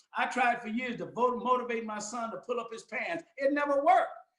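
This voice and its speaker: A man speaks very fast in an extremely high voice, with audible echo in the room. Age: 70s. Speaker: pastor. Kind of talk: sermon. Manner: animated.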